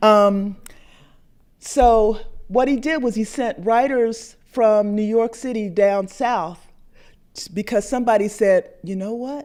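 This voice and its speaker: Speaking very slowly in an American accent, a woman with a fairly high pitch and ordinary pitch variation makes big swings in loudness. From US Northeast, Philadelphia. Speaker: painter and artist. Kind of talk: artist talk to an audience. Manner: halting, many restarts.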